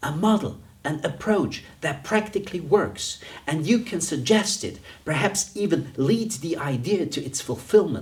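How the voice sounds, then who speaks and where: With a non-native accent, a man talks at a fairly slow pace in a high pitch with lively intonation, with audible room echo. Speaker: dean and business coach. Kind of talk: lecture. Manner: conversational.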